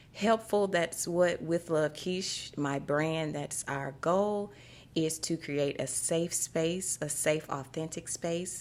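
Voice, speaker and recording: A woman with a Louisiana accent and a very deep, low pitch speaks at a very slow pace with ordinary pitch variation, in a very clean recording with a silent background. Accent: Southern US (Louisiana). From US South, Shreveport, Louisiana. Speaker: podcast host, spiritual wellness coach. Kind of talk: podcast monologue. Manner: casual, conversational.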